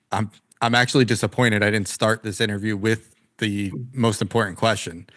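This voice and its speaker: In a New Jersey accent, a man speaks at a medium pitch. His intonation is fairly even. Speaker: podcast host. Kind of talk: casual interview.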